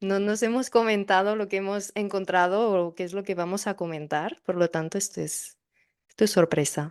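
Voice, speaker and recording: Woman at a moderate pace, medium in pitch, over a quiet background. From Catalonia, Spain. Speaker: podcast co-host. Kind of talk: casual chat. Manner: animated.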